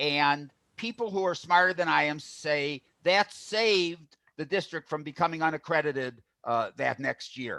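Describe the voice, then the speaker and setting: Loud and at a high pitch, a man speaks at a fairly slow pace with lively intonation and a bright, sharp tone, captured in a very clean recording with a silent background. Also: dry, close sound with no echo. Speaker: school board candidate. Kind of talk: candidate forum answer.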